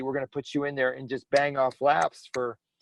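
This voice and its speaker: A man's voice at a fairly high pitch. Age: 60s. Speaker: racing driver. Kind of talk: casual chat. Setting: podcast. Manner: halting.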